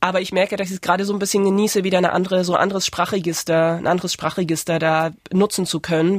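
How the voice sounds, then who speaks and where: A woman talks at a very fast pace with hardly any pauses. Her medium-pitched voice stays monotone and flat. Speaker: author. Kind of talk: interview. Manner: halting.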